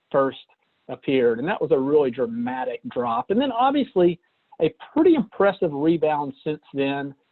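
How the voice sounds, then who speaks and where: A moderate pace marks this speech. It comes with a Southern US accent. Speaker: financial presenter. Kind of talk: webinar presentation. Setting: online webinar call. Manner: casual with hesitations.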